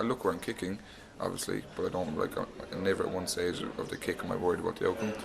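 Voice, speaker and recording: A man in an Irish accent at a very fast pace. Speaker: professional rugby player. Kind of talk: interview. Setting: university, over tea.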